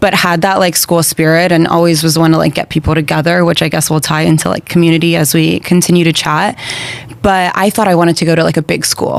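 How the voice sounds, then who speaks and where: A woman speaks at a very fast pace in a fairly low pitch, monotone and flat in intonation. Her loudness is very even, and noticeable background noise is present. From Brazil, raised in Florida and Connecticut from age six. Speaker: podcast guest. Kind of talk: casual interview chat.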